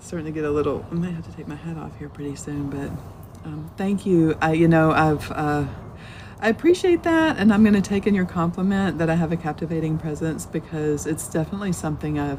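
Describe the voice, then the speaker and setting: In a Southern US accent, a woman speaks at a fairly quick pace with a very deep, low pitch and fairly even intonation, though her loudness swings widely. Noticeable background noise runs beneath her. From US South. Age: 50s. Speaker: Buddhist teacher. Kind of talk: live-stream dharma talk. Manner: casual, rambling with fillers.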